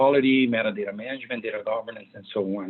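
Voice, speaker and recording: A man is speaking. He talks with a Brazilian accent. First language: Portuguese. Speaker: data management consultant and author. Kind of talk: presentation. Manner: hesitant, many fillers.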